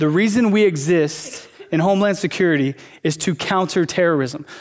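With an American accent, this is a normal speaking voice with ordinary pitch variation. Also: man. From small-town US. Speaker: pastor. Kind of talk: sermon. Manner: casual, conversational with fillers.

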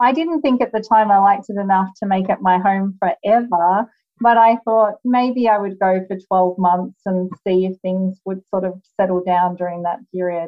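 With an Australian accent, a woman speaks at a moderate pace and medium pitch, hardly pausing and showing ordinary pitch variation. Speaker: lawyer and author. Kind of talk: interview.

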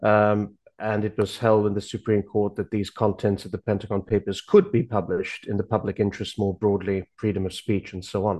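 Against a quiet background, a man with a dark, mellow tone and fairly low pitch talks fairly quickly in monotone, flat intonation with hardly any pauses. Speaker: university lecturer. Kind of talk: political commentary.

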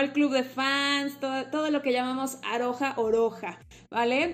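A woman with a high pitch speaks at a fairly slow pace in a monotone, flat intonation. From Mexico. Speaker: podcast host, graphologist. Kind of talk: casual chat.

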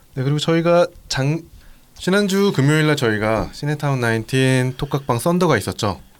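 In a plain, everyday voice, a man talks at a moderate pace with a fairly high pitch and lively intonation. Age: 30s. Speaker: podcast host. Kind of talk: casual chat.

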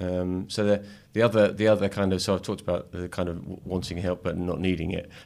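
A man talks at a very fast clip in a very deep, low pitch with flat, monotone intonation. The recording is very clean, with a silent background. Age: 50s. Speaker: venture capital investor. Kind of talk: casual chat. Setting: studio.

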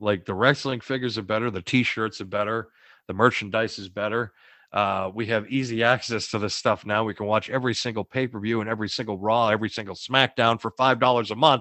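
Very fast male speech in an American accent, medium in pitch, with fairly even intonation. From US Northeast, Boston. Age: 30s. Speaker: podcast co-host. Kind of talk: casual chat.

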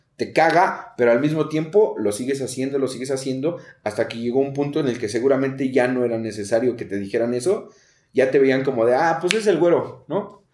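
A man with a plain, everyday voice, medium pitch and ordinary pitch variation at a fairly quick pace. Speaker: podcast host, recovering addict. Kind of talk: casual interview.

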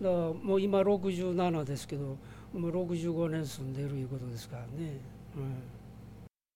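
A man's fairly high voice with an Osaka accent, dark and mellow in tone, at a fairly slow pace amid audible room echo. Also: ordinary pitch variation. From Osaka, Minato ward. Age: 60s. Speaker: bar owner and retired teacher. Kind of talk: interview. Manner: hesitant with many fillers.

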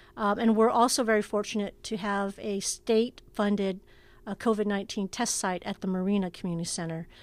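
A woman with a Californian accent speaks at a fairly quick pace in a medium pitch, her intonation fairly even. The recording is very clean, with a silent background. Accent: General American (California). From US West Coast, Oakland, California. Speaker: city recreation and human services director. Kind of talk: interview. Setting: socially distanced conversation.

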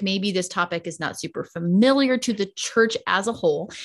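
A woman's medium-pitched, ordinary speaking voice with ordinary pitch variation, on a very clean recording with a silent background. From US South. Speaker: pastor. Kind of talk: podcast interview testimony.

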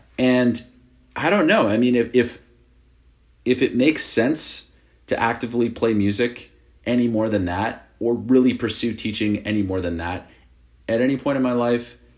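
A man with a medium pitch and an unremarkable speaking voice talks at a moderate pace with ordinary pitch variation. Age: 30s. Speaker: drummer. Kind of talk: casual chat.

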